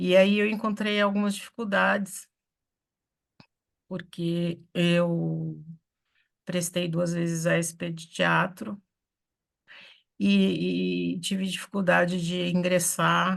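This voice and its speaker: A woman talks very slowly, her speech broken by long, frequent pauses. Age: 60s. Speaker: theatre artist. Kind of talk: online meeting discussion. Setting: video call from home office.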